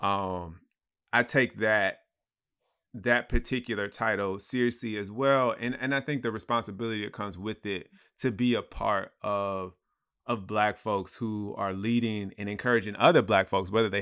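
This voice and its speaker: Speaking in a normal speaking voice with an American accent, a man holds a fairly low pitch, a moderate pace and fairly even intonation. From US South, Atlanta area. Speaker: nonprofit founder. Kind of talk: casual conversation.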